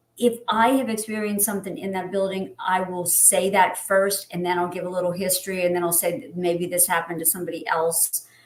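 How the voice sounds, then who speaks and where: Over noticeable background noise, a woman talks in a medium pitch with fairly even intonation. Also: fairly quick pace. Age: 60s. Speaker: wedding planner and ghost story creator. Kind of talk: podcast interview.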